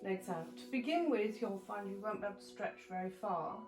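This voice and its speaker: Over music in the background and audible room echo, a woman talks with ordinary pitch variation. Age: 70s. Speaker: yoga instructor. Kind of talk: tutorial.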